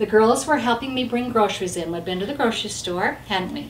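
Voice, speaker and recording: With audible room echo and noticeable background noise, a woman speaks at a very fast pace with ordinary pitch variation. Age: 60s. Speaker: grandmother and wellness coach. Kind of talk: casual chat. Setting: at home.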